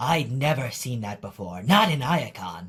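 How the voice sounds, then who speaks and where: Putting on a character voice, a man speaks at a moderate pace. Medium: dub.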